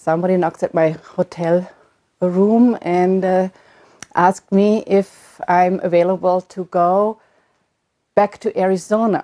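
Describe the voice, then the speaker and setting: A woman with a German accent, a medium pitch and a dark, mellow tone, her intonation monotone and flat, with long, frequent pauses in a dry, close sound with no echo. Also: fairly slow pace. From Germany. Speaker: retired midwife. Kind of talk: oral history interview. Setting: at home. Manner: halting.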